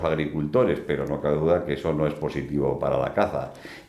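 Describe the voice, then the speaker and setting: A man speaks at a moderate pace, with audible room echo around his voice. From Basque Country, Bilbao. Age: 70s. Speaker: business executive and hunter. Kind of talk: casual interview.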